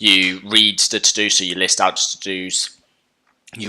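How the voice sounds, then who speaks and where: A man's bright, sharp tone comes through at a moderate pace. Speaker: coding tutorial youtuber. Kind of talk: tutorial. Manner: casual, halting with fillers.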